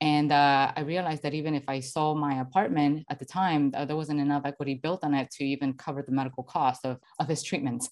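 Against a quiet background, a woman with a Spanish accent and a very deep, low pitch talks at a very fast pace with hardly any pauses and fairly even intonation. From Venezuela. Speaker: financial educator. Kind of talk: podcast interview. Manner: hesitant with fillers.

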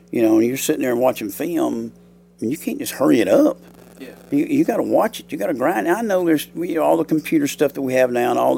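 With a Southern US accent, a man talks very fast over noticeable background noise. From US South, Alabama. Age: 60s. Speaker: high school football coach. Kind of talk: interview.

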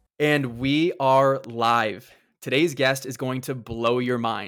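In a very clean recording with a silent background, a man speaks at a medium pitch with fairly even intonation. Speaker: podcast host. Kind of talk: interview. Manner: fast.

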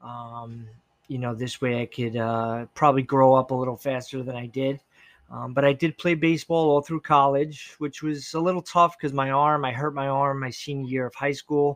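Here is a normal speaking voice, a man's at a fairly high pitch and a moderate pace. His intonation is fairly even, and the sound is dry and close with no echo. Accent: American. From New York, Long Island. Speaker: podcast guest. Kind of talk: casual chat.

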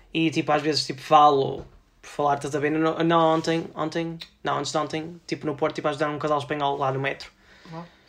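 Speaking at a fairly quick pace, a man has a fairly high pitch. His loudness swings widely. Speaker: podcast host. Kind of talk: casual chat. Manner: fast; animated.

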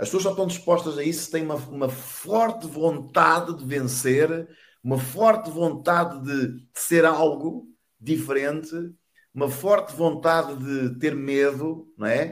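A man with a plain, everyday voice talks at a fairly slow pace, his fairly high pitch moving with ordinary variation. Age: 50s. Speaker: network marketing entrepreneur. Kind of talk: interview, motivational talk.

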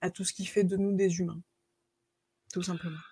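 This woman has a dark, mellow tone and sounds somewhat breathy. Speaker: author and coach. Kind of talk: interview.

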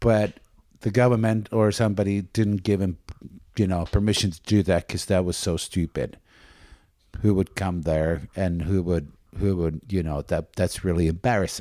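Over a silent background on a very clean recording, a man with a Finnish accent speaks at a very deep, low pitch and moderate pace with fairly even intonation. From Espoo, Finland. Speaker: podcast co-host. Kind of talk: casual chat.

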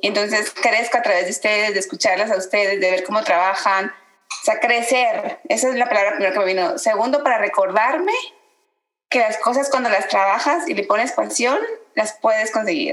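With an ordinary speaking voice, a woman speaks at a moderate pace and a fairly high pitch, with ordinary pitch variation. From Guatemala. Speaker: podcast co-host, meditation practitioner. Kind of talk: casual chat.

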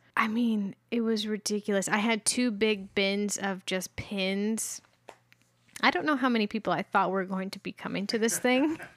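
A woman with a plain, everyday voice speaks at medium pitch and a moderate pace with ordinary pitch variation, in a very clean, silent recording that sounds dry and close with no echo. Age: 30s. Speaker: podcast co-host. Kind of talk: casual chat. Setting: home recording.

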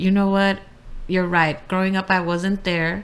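A woman's medium-pitched voice, monotone and flat in intonation, at a moderate pace in a very clean recording with a silent background. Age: 20s. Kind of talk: casual chat.

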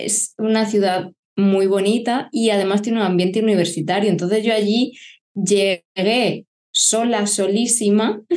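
Speaking at a fairly slow pace and medium pitch, a woman has a plain, everyday voice. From Murcia, Spain (Lorca). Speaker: family photographer. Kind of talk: casual chat.

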